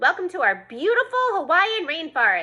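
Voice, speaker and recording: A woman uses a loud, put-on character voice. Her pitch is extremely high, with very wide swings. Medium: read story. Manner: loud, cheerful.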